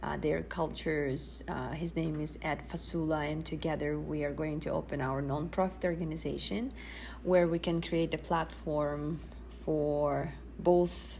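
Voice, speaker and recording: With audible room echo, the talking proceeds at a moderate pace. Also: woman. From Sakha Republic, Siberia, Russia. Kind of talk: interview. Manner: halting, many fillers.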